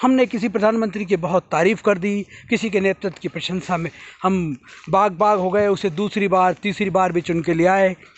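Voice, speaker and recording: With fairly even intonation, a man with a high voice speaks at a moderate pace. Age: 60s. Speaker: social commentator. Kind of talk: monologue commentary. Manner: impassioned.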